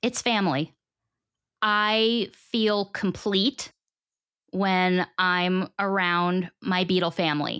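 A woman with an American accent, a bright, sharp tone and medium pitch, ordinary pitch variation, a very slow pace with long, frequent pauses, very even loudness, and a dry, close sound with no echo on a very clean recording with a silent background. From Long Island, New York. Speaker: radio host and content creator. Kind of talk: casual interview chat.

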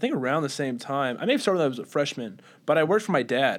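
On a very clean recording with a silent background, a speaker with a Southern US accent talks very fast with lively intonation. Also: man. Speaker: podcast co-host. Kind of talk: casual chat. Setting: studio.

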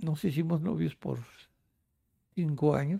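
A man's voice comes through dark and mellow, somewhat breathy. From Mexico City. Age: 80s+. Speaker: retired grandfather, amateur painter. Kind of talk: life-story interview. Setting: at home.

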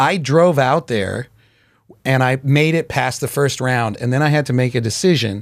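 With an American accent and a normal speaking voice, a man talks at a moderate pace and medium pitch with ordinary pitch variation. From Chicago. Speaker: comedian. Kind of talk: casual chat. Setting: studio.

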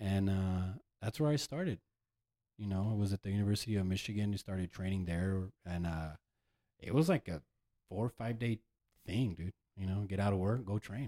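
A dark, mellow tone with an American accent comes at a fairly quick pace, with ordinary pitch variation and long, frequent pauses, in a very clean recording with a silent background and a dry, close sound with no echo. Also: man, fairly low pitch for a man. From El Paso, Texas. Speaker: DJ. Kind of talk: casual chat.

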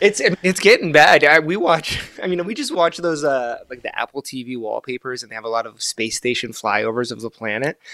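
With an unremarkable speaking voice, a man talks at a fairly high pitch with lively intonation, big swings in loudness and hardly any pauses. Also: fairly quick pace. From Gaza, Palestine, then Egypt and Florida. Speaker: astrophotographer and artist. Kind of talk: casual interview chat.

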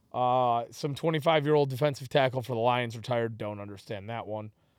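A man speaks at a moderate pace, his medium pitch moving with ordinary variation. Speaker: podcast host. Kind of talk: casual banter. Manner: animated, profane.

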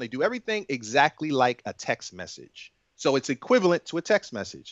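Here a man speaks with a normal speaking voice. His intonation is lively and his pace moderate. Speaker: app and web developer. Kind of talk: casual interview chat.

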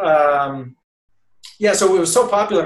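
A man with an American accent talks in a somewhat breathy voice with ordinary pitch variation. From Boston area, Massachusetts. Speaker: golf journalist. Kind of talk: casual chat. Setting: video call.

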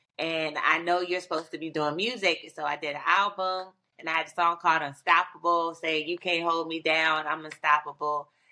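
A woman with a fairly low pitch and a bright, sharp tone speaks at a fairly quick pace. She has hardly any pauses and a monotone, flat intonation. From Virginia. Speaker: singer. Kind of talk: casual interview.

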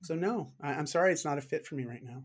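With a Canadian accent, a man talks at a fairly quick pace in a fairly high, somewhat breathy voice on a very clean recording with a silent background. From Canada. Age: 40s. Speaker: fitness coach and author. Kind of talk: interview conversation. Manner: frequent repetitions and fillers.

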